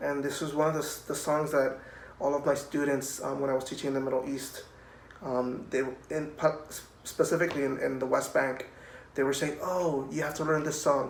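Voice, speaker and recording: With a Spanish accent, a man speaks at a moderate pace in a fairly high, monotone voice with flat intonation, over noticeable background noise and audible room echo. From Puerto Rico. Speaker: cellist. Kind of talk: children's music program talk. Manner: friendly, addressing children.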